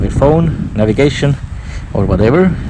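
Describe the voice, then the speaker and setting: Against noticeable background noise, a man with an Estonian accent speaks in a relaxed tone with lively intonation. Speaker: motorcycle reviewer. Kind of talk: unscripted POV ride review. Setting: outdoors.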